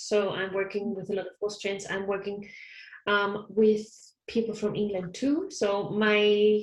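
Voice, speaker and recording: Speaking fairly slowly with a German accent, a woman keeps fairly even intonation at a medium pitch. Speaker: counsellor. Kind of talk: interview.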